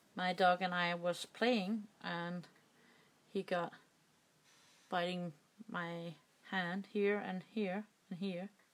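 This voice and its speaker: With a Danish accent, a woman speaks at a very slow pace and a medium pitch, monotone with flat intonation and long, frequent pauses. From Denmark. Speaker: crafting YouTuber. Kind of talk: tutorial. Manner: halting.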